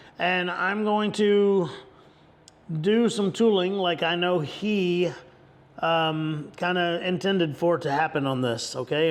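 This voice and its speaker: Amid noticeable background noise, a man with a high voice and ordinary pitch variation speaks at a fairly slow pace. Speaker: leathercraft instructor. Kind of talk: tutorial. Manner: halting, repeated words; casual.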